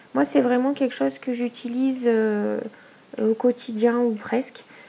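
A woman's high pitch at a fairly slow pace, with ordinary pitch variation and noticeable background noise. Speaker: podcaster and small business owner. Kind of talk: solo podcast monologue. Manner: hesitant, many fillers.

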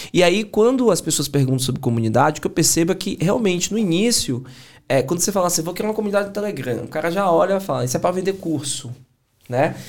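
At a very fast pace, a man speaks with lively intonation and a high pitch. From Bahia, Brazil (Salvador). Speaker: entrepreneur and sales mentor. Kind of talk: casual chat.

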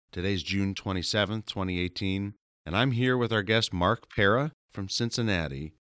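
A man with an unremarkable speaking voice talks at a fairly low pitch and a fairly slow pace, with ordinary pitch variation. The recording is very clean with a silent background, and the sound is dry and close with no echo. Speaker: lawyer. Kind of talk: podcast interview.

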